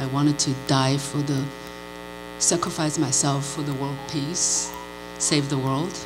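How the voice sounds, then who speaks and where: A woman speaks at a fairly slow pace, leaving long, frequent pauses. Audible room echo and noticeable background noise fill the recording. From China (Shanghai area). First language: Mandarin Chinese. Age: 50s. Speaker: novelist. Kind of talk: panel talk, personal story. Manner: halting, many fillers.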